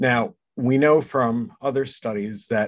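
With an unremarkable speaking voice, a man talks at a fairly slow pace and medium pitch. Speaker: co-host, surgeon. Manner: joking, self-deprecating.

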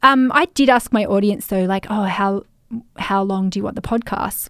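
At a fairly quick pace, a woman speaks at a medium pitch with ordinary pitch variation in a warm, enthusiastic tone. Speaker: podcast host and business coach. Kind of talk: solo podcast episode, casual behind-the-scenes talk. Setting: home recording setup, microphone and headphones. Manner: warm, chatty, enthusiastic.

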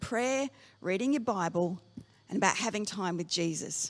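Lively intonation and a moderate pace come from a woman with an Australian accent. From Australia, Darwin. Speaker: pastor. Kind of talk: sermon.

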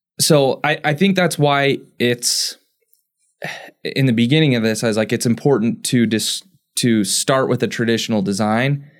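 Here is a man with a plain, everyday voice at medium pitch for a man. He uses ordinary pitch variation at a moderate pace on a very clean recording with a silent background. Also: very even loudness. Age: 30s. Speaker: engineering podcast co-host. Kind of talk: casual chat.

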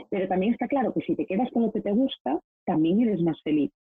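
The pitch makes very wide swings. The pace is fairly quick. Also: woman. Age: 30s. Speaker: professional organizer. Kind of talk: interview conversation. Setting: video call.

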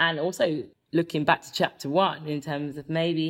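In a very deep, low pitch, a woman talks with vocal fry and monotone, flat intonation. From England (Birmingham-born, raised in Horsham). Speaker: broadcaster and author. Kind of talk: interview conversation. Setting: remote recording from home.

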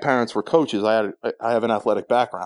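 The man talks at a very fast pace with medium pitch and ordinary pitch variation, in a dry, close sound with no echo. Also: quiet background. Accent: New Jersey. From New Jersey, Sayreville. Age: 20s. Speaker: podcast guest sharing weight-loss journey. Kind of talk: casual chat.

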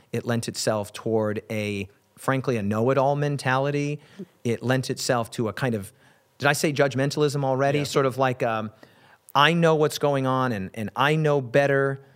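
With an American accent and an ordinary speaking voice, a man talks at a moderate pace, his medium pitch showing ordinary variation. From Wyoming, US. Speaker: pastor and preacher. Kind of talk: casual interview conversation.

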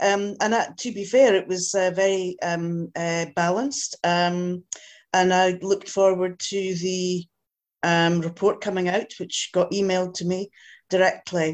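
A woman with a Scottish accent, medium in pitch, at a fairly slow pace. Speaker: audience member asking questions. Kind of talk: Q&A discussion.

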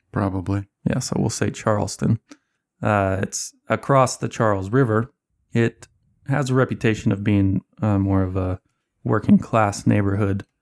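A man speaks in an ordinary speaking voice at a moderate pace, fairly low in pitch with ordinary pitch variation. The sound is dry and close with no echo, a very clean recording with a silent background. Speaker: tabletop game master. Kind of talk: tabletop role-play session.

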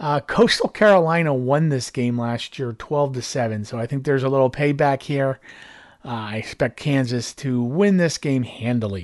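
Speech moves at a moderate pace over a quiet background. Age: 50s. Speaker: sports betting podcast host. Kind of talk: casual monologue. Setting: home room with TV on.

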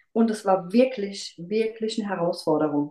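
A woman speaks at a fairly slow pace in a plain, everyday voice of medium pitch with ordinary pitch variation. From Rheinhessen near Mainz, Germany. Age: 40s. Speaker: kindergarten teacher and amateur runner. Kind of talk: casual interview.

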